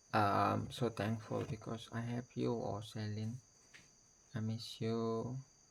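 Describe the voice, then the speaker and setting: A man with a non-native accent speaks at a very slow pace. His medium pitch stays monotone, with flat intonation. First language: not English. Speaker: video blogger. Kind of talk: personal video message. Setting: talking to camera. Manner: halting.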